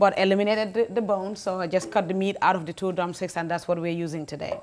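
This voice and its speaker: A woman talks at a very fast pace, with ordinary pitch variation. Light background noise sits behind her. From the Gambia. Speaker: cooking show host. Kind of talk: cooking demonstration. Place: kitchen.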